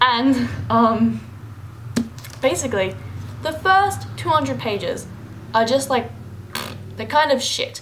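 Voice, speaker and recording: A woman's speech broken by long, frequent pauses, amid noticeable background noise and audible room echo. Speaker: book vlogger. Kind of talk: casual vlog book review. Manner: fast.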